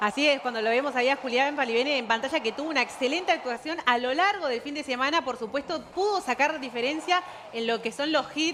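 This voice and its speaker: A woman with an Argentine accent, high-pitched and very fast, with ordinary pitch variation, hardly any pauses, and noticeable background noise. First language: Spanish. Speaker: sports journalist. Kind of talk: live commentary. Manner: halting in English.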